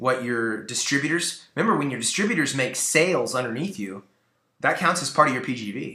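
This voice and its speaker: Audible room echo surrounds a man's voice. He talks at a fairly quick pace with very wide pitch swings. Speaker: network marketing team leader / trainer. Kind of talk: training talk. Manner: fast; animated.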